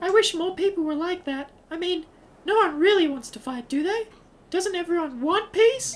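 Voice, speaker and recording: A put-on, squeaky, female-sounding character voice at an extremely high pitch and moderate pace. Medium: actual play.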